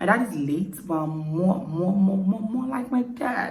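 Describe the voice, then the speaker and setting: A woman with a Nigerian accent and lively intonation at a fairly slow pace, amid noticeable background noise and audible room echo. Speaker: YouTuber. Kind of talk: casual Q&A vlog. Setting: at home at night, quiet.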